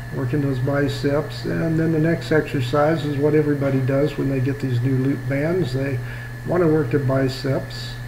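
A man speaks with fairly even intonation at a fairly high pitch. Audible room echo and noticeable background noise fill the recording. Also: moderate pace. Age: 60s. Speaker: personal trainer. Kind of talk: workout tutorial voiceover. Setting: home garage. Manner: casual coaching.

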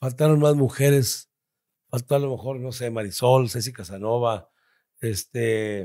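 A man with a medium pitch and a dark, mellow tone speaks at a fairly slow pace with ordinary pitch variation, in a very clean recording with a silent background. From Torreón, Coahuila, northern Mexico. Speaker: comedian. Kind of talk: casual chat.

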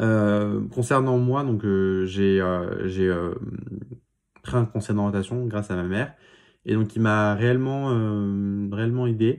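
Speech moves at a very slow pace with fairly even intonation. The background is quiet. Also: man, fairly low pitch for a man. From Paris region, France; France. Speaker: student YouTuber. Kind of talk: vlog monologue. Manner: halting, many filler sounds. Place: home room. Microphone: phone near.

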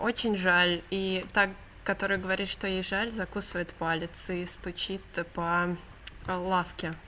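A woman speaks at a very slow pace in a monotone, flat intonation over light background noise. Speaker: book reviewer. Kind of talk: casual vlog retelling and commentary. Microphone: webcam.

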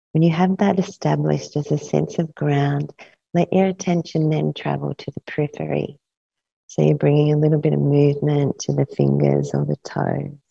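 Faint music plays behind a woman speaking at a moderate pace, with a dry sound and no echo. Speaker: yoga nidra teacher. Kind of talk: guided meditation; guided meditation instruction. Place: studio.

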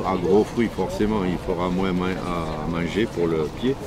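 A man with a southern French accent at a fairly slow pace, in a dry sound with no echo and noticeable background noise. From southwest France, Marmande (Lot-et-Garonne); southwest France. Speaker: market gardener, heirloom tomato grower; seller. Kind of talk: interview. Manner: casual, hesitant with fillers. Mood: warm, enthusiastic. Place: market.

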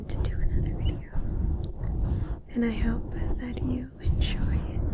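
A woman talks fairly slowly as loud background noise fills the recording. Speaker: ASMR creator. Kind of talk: soft ASMR intro chat. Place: home room. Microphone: studio mic.

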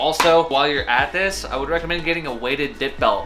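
Ordinary pitch variation marks the man's very fast speech, heard over noticeable background noise. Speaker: fitness vlogger. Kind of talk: product review. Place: garage.

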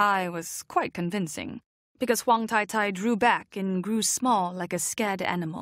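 Against a quiet background, the speaker reads aloud in a natural voice, pitch varying in an ordinary way.

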